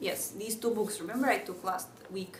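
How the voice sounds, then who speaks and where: A woman with a Russian accent talks at a moderate pace in a medium pitch. Room echo is audible, and there is noticeable background noise. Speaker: podcast host, devotional. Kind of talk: casual Q&A monologue. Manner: hesitant, many fillers.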